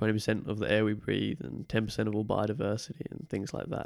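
Vocal fry at a very fast pace. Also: man. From Brisbane, Australia; born in UK. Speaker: guest, exchange student. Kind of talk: casual chat.

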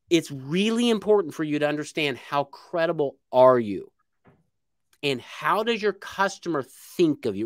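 Animated and with lively intonation, a man speaks with an American accent. The recording is very clean with a silent background and a dry, close sound with no echo. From Indiana, US Midwest. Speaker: book publishing and marketing consultant. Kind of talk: casual interview chat.

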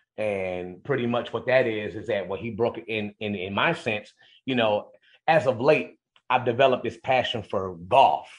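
A man speaks with an American accent in an unremarkable speaking voice. He talks at a moderate pace and a medium pitch, with ordinary pitch variation. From Cleveland, Ohio. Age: 40s. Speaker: arena public address announcer. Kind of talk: radio interview.

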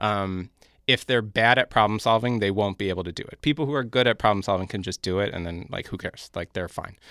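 A man's fairly low-pitched voice with a bright, sharp tone, dry and close with no echo, on a very clean recording with a silent background. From Brooklyn, New York. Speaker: mobile game designer. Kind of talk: casual interview. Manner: halting, many fillers.

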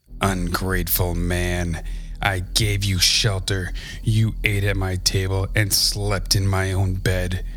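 In a put-on character voice, the speaker growls at a fairly slow pace against clear background noise. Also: man. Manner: angry.

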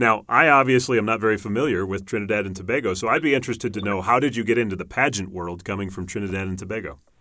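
A man with a fairly low pitch talks at a very fast pace in a bright, sharp tone. The recording is very clean, with a silent background. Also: ordinary pitch variation. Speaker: podcast host and pageant host. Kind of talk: casual interview.

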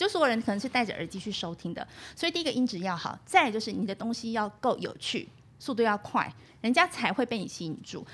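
At a very fast pace, a woman with a fairly high pitch swings very widely in pitch on a very clean recording with a silent background. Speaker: university radio instructor and podcast host. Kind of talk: interview. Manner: fluent.

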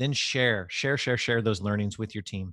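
With fairly even intonation, a man speaks at a moderate pace and medium pitch, the sound dry and close with no echo against a quiet background. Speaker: podcast co-host, business leader. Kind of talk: casual chat. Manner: less somber than before.

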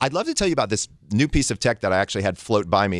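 A man's voice, dry and close with no echo, in a very clean recording with a silent background. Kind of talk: casual chat.

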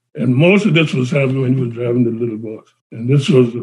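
Here a man speaks with an American accent. His voice is somewhat breathy. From South Carolina, Johns Island. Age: 80s+. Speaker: son of civil rights activists. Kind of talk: oral history interview.

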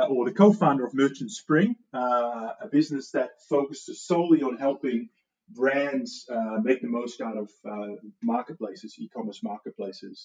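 A man talks with a slight Dutch accent at a fairly slow pace. His fairly high voice makes very wide pitch swings. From Netherlands. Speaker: e-commerce company founder. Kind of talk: podcast interview.

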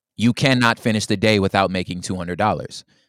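A man's fairly low voice at a fairly quick pace, ordinary pitch variation, dry and close with no echo. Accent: American. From Los Angeles, US. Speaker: poet and hip-hop artist. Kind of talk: casual interview chat.

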